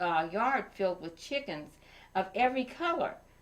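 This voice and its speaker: This woman has a warm, gentle tone at medium pitch. She speaks at a moderate pace with very wide pitch swings. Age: 70s. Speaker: storyteller reading to children. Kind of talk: reading aloud; casual chat. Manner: halting; warm and gentle.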